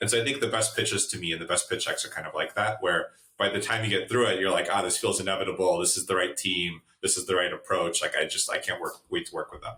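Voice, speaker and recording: With hardly any pauses, a man delivers his words at a very fast pace. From Russia. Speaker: venture capital investor. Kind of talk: podcast interview. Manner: casual, many fillers and restarts.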